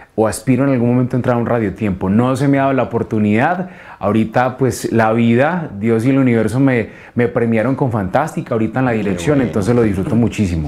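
With a dark, mellow tone, a man talks at a very fast pace, his loudness very even and his pitch variation ordinary. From Colombia, Antioquia (paisa). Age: young. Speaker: radio announcer and station director. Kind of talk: interview. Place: studio. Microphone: lapel.

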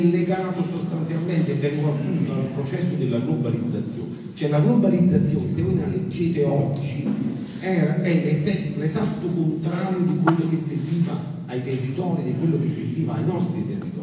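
With noticeable background noise and strong room echo, a man speaks at a fairly high pitch. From Campania, Sele plain. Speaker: farmer and agricultural association leader. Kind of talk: conference speech. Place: hall.

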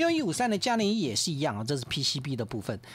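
Here a man's pitch swings very widely. The sound is dry with no echo. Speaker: stock market analyst. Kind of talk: radio market commentary. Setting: radio studio. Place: studio.

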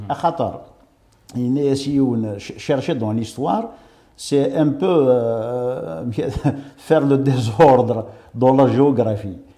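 Here a man talks at a fairly high pitch. The background is quiet. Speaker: writer and journalist; journalist. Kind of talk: interview. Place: studio. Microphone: lapel.

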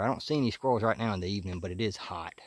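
A man's fairly low voice with a dry sound and no echo. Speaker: hunter vlogger. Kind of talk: casual vlog chat. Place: forest. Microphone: phone near.

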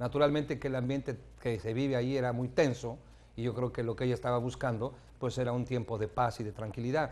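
A man at medium pitch, fairly even intonation, fairly quick pace. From Mexico. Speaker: pastor. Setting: TV studio. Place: studio. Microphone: lapel.

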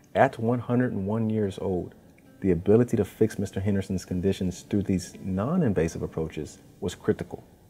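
Music plays in the background. The speaker talks at a fairly quick pace with ordinary pitch variation. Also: man. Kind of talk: healthcare corporate narration.

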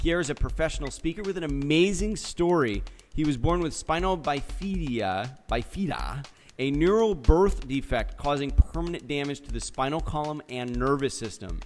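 With music in the background, a man speaks at a fairly high pitch with lively intonation. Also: moderate pace. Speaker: podcast interview host. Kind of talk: interview host talk.

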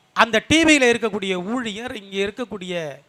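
In a dry, close sound with no echo, a man uses a raised, projected voice with ordinary pitch variation. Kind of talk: political rally speech. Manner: formal, storytelling.

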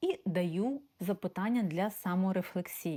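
A woman speaks at a very slow pace. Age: 40s. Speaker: life coach. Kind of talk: self-presentation to prospective clients.

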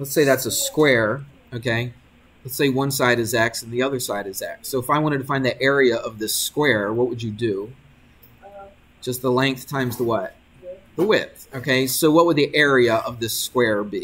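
A man speaks at a moderate pace. His intonation stays fairly even. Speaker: math teacher. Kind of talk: lecture. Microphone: webcam.

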